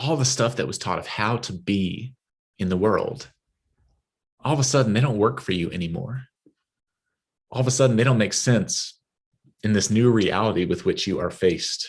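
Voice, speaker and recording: A man in a West Texas accent, somewhat breathy, medium-pitched, at a moderate pace with long, frequent pauses. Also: ordinary pitch variation. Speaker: guest preacher, minister. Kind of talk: sermon.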